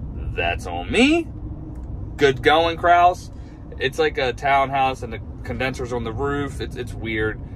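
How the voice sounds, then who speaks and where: A man talks at a very slow pace, his loudness swinging widely. Noticeable background noise is present. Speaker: HVAC technician, vlogger. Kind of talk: casual vlog narration. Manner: energetic.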